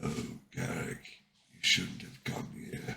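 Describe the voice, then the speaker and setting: In a put-on character voice, a man whispers in a raspy tone at a very slow pace. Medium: read story. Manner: quiet, slow.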